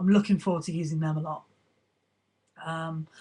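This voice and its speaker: Against a quiet background, a woman talks at a fairly quick pace in a somewhat breathy voice with ordinary pitch variation. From Britain. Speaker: vlogger answering fan questions. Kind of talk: casual Q&A vlog. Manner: hesitant, many fillers.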